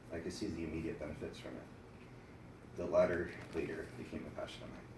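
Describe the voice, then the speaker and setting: Against noticeable background noise and audible room echo, a soft-spoken man talks at a fairly quick pace. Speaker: mental health program participant. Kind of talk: prepared speech.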